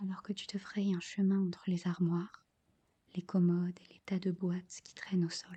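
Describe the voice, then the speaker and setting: Someone soft-spoken talks at a moderate pace. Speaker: ASMR creator. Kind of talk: ASMR guided visualization.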